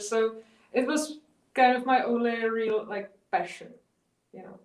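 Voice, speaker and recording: The woman talks fairly slowly. Her delivery stays monotone and flat. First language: not English. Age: 30s. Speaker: artist. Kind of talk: interview. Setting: video call. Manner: halting.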